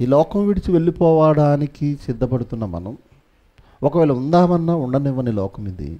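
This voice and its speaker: Over a quiet background, a man talks with lively intonation and a fairly high pitch. His loudness swings widely. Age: 30s. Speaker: pastor. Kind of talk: sermon. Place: church. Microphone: headset.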